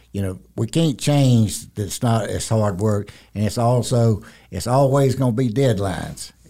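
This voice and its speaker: A man with a Southern US accent speaks at a fairly slow pace in a medium pitch with ordinary pitch variation. His tone is dark and mellow, and his voice is somewhat breathy. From South Carolina. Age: 70s. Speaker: retiring construction executive. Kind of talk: interview conversation. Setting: studio. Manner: few words, plain-spoken.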